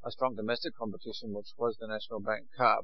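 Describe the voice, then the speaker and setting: Over noticeable background noise, a man talks very fast with an Australian accent. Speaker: radio co-host. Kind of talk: radio interview. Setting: studio.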